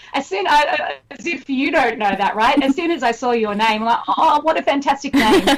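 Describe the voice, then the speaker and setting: Noticeable background noise surrounds a woman speaking with an Australian accent. Her voice is high-pitched, her intonation lively, and her pace fairly quick. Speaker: singer-songwriter. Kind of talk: radio interview. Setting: remote call from Australia.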